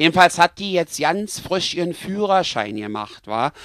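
Someone speaks with a Berlin accent while music plays in the background. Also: man. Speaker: comedy storyteller. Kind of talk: comic story narration. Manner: casual, chatty.

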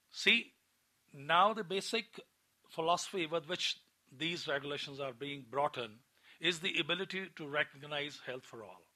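With a bright, sharp tone and fairly high pitch, a man speaks at a moderate pace with long, frequent pauses against a quiet background. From India. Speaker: community medicine professor. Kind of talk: lecture. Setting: stage with audience. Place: hall.

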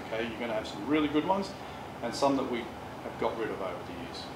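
A man talks at a moderate pace over loud background noise. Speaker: presenter. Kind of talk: presentation talk. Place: meeting room. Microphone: camera far.

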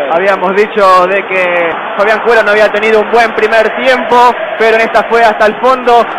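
The speaker moves along at a moderate speed. Behind the voice, background noise is clearly noticeable. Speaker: radio football commentator. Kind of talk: live sports commentary.

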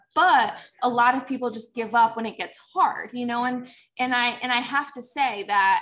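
A woman's fairly high pitch with ordinary pitch variation at a fairly slow pace. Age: 20s. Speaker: network marketing seller. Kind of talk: casual interview chat. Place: home room. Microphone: video call.

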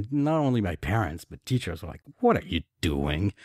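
A man's fairly low voice with very wide pitch swings, dry and close with no echo, on a very clean recording over a silent background. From France. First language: French. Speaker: author. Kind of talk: interview. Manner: halting.

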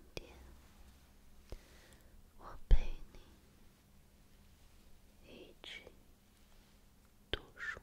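Whispering in a gentle tone at a very slow pace, the speaker leaves long, frequent pauses. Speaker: reader. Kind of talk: quiet ASMR book reading. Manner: quiet, gentle, soft-spoken.

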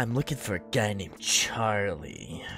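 Over clear background noise, a man performs a put-on character voice at a fairly low pitch. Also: moderate pace. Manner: tough, threatening.

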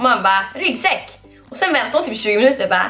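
An upbeat woman with a northern Swedish accent, high-pitched with very wide pitch swings, talking at a very fast pace over faint music in the background. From Skellefteå, northern Sweden. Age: 20s. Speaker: beauty vlogger. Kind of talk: casual haul video talk to camera. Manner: chatty, upbeat. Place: home room. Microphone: camera far.

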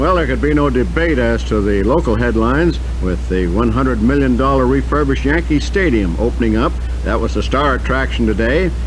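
A man speaks in a very deep, low voice with very even loudness and a monotone, flat intonation, with music playing in the background. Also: fairly quick pace. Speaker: radio sportscaster. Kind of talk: radio sports news read. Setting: radio broadcast. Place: studio. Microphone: old recording.

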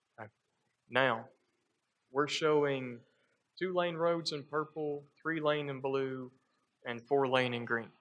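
Speaking at a very slow pace, a man uses fairly even intonation at a fairly high pitch. Long, frequent pauses break up his speech. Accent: Southern US. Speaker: transportation planner presenting. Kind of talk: public meeting presentation. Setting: community meeting room.

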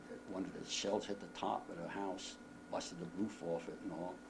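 There is noticeable background noise behind this speaker. He is a man with a fairly low pitch. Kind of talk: interview answer. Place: home room. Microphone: camera far.

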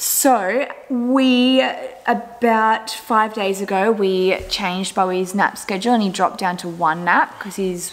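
The woman talks, her pitch varying in an ordinary way. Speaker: family vlogger. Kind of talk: casual vlog chat. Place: home room. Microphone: phone near.

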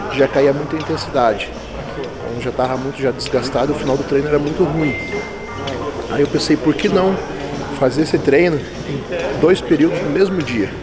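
Music plays in the background as a man speaks. He takes long, frequent pauses. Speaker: bodybuilding coach. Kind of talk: casual explanation of training method. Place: gym.

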